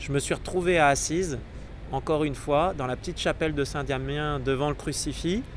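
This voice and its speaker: A man's fairly high voice comes at a fairly quick pace. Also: fairly even intonation. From southern France, Marseille. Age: 30s. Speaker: Jesuit priest-to-be. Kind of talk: personal testimony. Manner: hesitant, many fillers.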